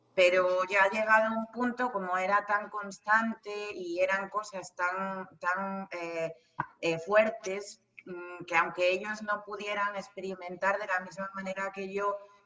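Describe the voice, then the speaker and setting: Speaking at a fairly slow pace, a woman keeps a medium pitch with monotone, flat intonation. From Spain, El Bierzo (León). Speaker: medium and psychic. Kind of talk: interview. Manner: halting.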